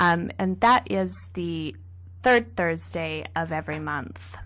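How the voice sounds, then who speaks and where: A woman's voice against a quiet background. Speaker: novelist. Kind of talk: radio interview. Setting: radio studio.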